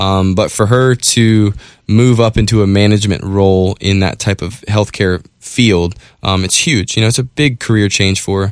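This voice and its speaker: A man with an American accent speaks in an ordinary speaking voice, fairly low in pitch with ordinary pitch variation. The recording is very clean, with a silent background. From North Carolina Outer Banks, Currituck. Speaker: monster truck driver. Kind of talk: casual chat. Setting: studio.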